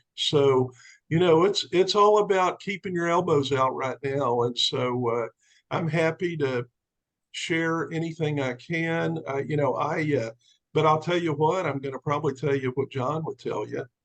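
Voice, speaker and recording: A man with a plain, everyday voice and a fairly high pitch speaks at a moderate pace with ordinary pitch variation. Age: 60s. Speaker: commercial real estate businessman and sales recruit. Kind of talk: testimony on a team call.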